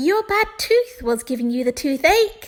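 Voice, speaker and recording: A woman's put-on character voice, squeaky and extremely high in pitch, with very wide pitch swings at a moderate pace. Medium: read story.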